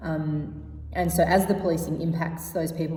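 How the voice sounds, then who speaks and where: Audible room echo surrounds a woman with an Australian accent. Her pitch is very deep and low, and she speaks at a fairly quick pace. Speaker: activist and researcher panelist. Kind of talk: prepared conference talk. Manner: fast.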